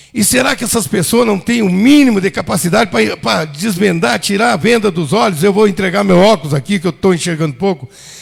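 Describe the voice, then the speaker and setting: Over music in the background, a man with a high voice talks at a fairly quick pace. His intonation is lively, and he hardly pauses. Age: 60s. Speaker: city councillor. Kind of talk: council floor speech. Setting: council chamber session. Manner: heated, indignant.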